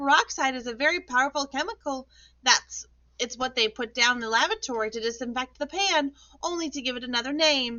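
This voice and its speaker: In a shrill, put-on character voice, the speaker moves at a fairly quick pace with ordinary pitch variation. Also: woman, high pitch for a woman. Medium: read story. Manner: shrill, shrieking.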